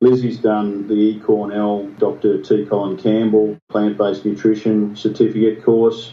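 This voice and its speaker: In an Australian accent, a man talks at a moderate pace with a fairly low pitch. His intonation is monotone and flat. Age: 50s. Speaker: interview guest, health recovery story. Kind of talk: podcast interview. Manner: hesitant, with repeated words.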